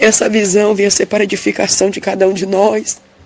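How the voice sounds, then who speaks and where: A woman's voice over noticeable background noise. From interior of Bahia, Brazil. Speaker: church member giving a testimony. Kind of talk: religious testimony of a vision. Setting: recorded audio message.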